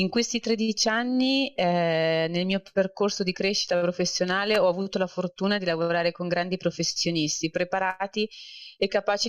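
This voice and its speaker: An unremarkable speaking voice from a woman, medium pitch, moderate pace, ordinary pitch variation, dry and close with no echo. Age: 30s. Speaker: corporate banker. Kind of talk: interview.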